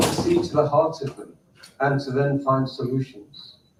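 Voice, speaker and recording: A man with a British accent at a fairly high pitch, fairly even intonation, and a moderate pace, with audible room echo. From United Kingdom. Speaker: community leader. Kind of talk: conference talk.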